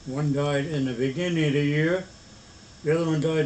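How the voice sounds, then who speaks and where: A man speaks at a fairly high pitch, and audible room echo surrounds his voice. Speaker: elderly grandfather. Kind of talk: family conversation. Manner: halting.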